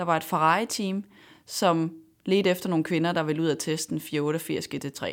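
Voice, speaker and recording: At a very slow pace, a woman speaks in a fairly low pitch in a very clean recording with a silent background. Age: 20s. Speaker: racing driver. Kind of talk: interview. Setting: studio.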